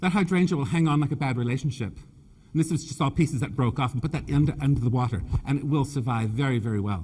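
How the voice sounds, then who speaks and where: A somewhat breathy man's voice, fairly high in pitch, with ordinary pitch variation and a very fast pace. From Canada (Nova Scotia), British family. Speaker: floral designer and presenter. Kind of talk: live design demonstration with humor. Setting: stage with audience. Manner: animated, joking.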